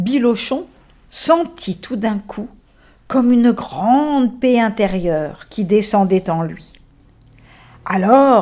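This woman's voice sits fairly high and swings very widely in pitch. She speaks at a very slow pace. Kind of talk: bedtime story telling. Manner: animated, voicing characters (grumpy ox, braying donkey, gentle man); soft, tender, slowed down in gentle moments.

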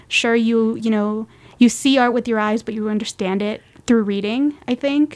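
A woman with a normal speaking voice talks at a fairly high pitch. Her intonation stays fairly even and her pace is moderate. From Reno, Nevada, US. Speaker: art history graduate and curator. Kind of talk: casual interview.

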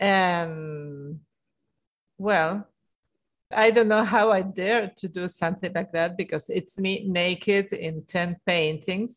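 Speaking very slowly with an Argentine accent, a woman keeps a medium pitch and fairly even intonation against a quiet background. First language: Spanish. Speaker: artist. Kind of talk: interview.

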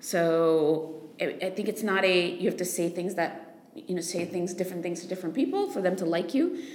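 This voice has an American accent and moves at a moderate pace with hardly any pauses. Pitch variation is ordinary, and there is noticeable background noise. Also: woman, fairly low pitch for a woman. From United States. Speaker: investor, podcast co-host. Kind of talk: casual improvised podcast chat.

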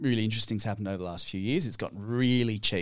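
A man speaks with an Australian accent. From Western Australia. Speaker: climate policy researcher. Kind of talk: casual chat.

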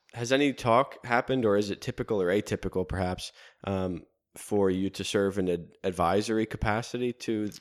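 In an ordinary speaking voice, a man with a fairly low pitch talks at a fairly quick pace with ordinary pitch variation. The recording is very clean with a silent background, and the sound is dry and close with no echo. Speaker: seminarian podcast host. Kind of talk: interview.

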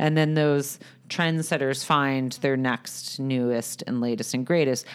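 A woman speaking at a fairly slow pace. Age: 30s. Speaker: content creator and company founder. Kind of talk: interview. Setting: podcast recording.

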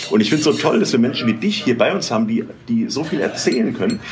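A man talks with lively intonation and an animated tone, with audible room echo and noticeable background noise. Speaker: podcast host. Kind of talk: interview. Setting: restaurant.

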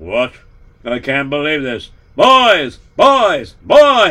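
A man puts on a character voice at a fairly high pitch and speaks at a very slow pace. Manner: angry, exasperated, shouting.

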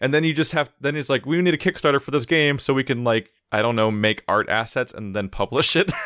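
This man has an ordinary speaking voice at medium pitch. He talks at a fairly quick pace with lively intonation and hardly any pauses. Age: 20s. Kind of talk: casual chat.

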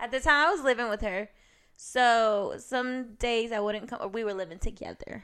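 A woman with an unremarkable speaking voice talks at a moderate pace and a fairly high pitch, with ordinary pitch variation, on a very clean recording with a silent background. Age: 20s. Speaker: returning podcast guest, healthcare worker. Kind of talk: casual chat.

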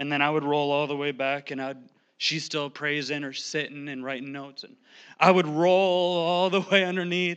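The delivery has an animated tone, ordinary pitch variation and a moderate pace. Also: man. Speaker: lay preacher, pastor's son. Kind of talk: sermon. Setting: church. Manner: animated, sometimes yelling.

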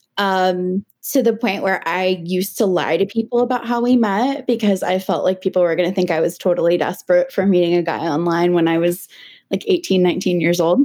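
A woman with a normal speaking voice and medium pitch talks at a fairly quick pace with very even loudness. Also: ordinary pitch variation. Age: 30s. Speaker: mental health counselor. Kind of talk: casual chat.

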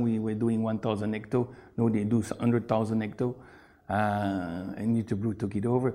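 With a dark, mellow tone, the man speaks at a medium pitch and moderate pace in a monotone, flat intonation. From Belgium, Brussels. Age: 50s. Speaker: beer importer, businessman. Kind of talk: interview.

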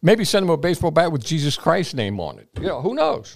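A man speaks very fast in a fairly high voice with vocal fry. His tone is energetic and his intonation lively. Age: 80s+. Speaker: salesman and speaker. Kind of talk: interview with personal stories.

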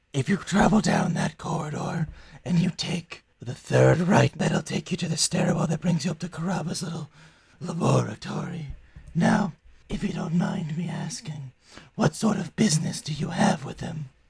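A man does a put-on character voice, pitched high. He keeps a moderate pace. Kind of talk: fantasy game character voice. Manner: smug, sly, sardonic.

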